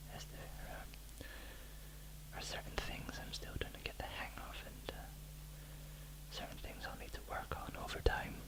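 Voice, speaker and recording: A soft-spoken man whispering at a very slow pace with hardly any pauses over noticeable background noise. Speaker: bedtime story reader. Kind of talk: casual talk to camera, intro. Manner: whispered, soft, slow.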